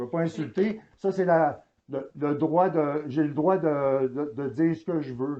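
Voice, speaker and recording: Fairly slow speech from a man with a fairly high pitch and ordinary pitch variation. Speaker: citizen auditor. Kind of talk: heated argument. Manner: loud.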